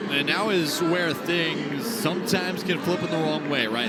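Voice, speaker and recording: A man speaking over music in the background. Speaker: baseball color commentator. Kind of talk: sports color commentary.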